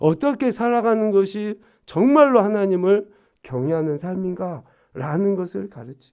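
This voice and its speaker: Over a silent background in a very clean recording, a man with a high pitch talks at a moderate pace, his intonation lively and his loudness swinging widely. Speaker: pastor. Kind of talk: sermon. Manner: emphatic, frowning when stressing points.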